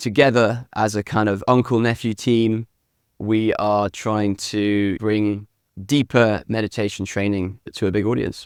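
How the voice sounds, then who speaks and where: In a very clean recording with a silent background, a man speaks with a British accent. His pitch is fairly low and his intonation fairly even. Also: dry, close sound with no echo. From UK. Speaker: meditation app founder. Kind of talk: interview. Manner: casual, filler-heavy.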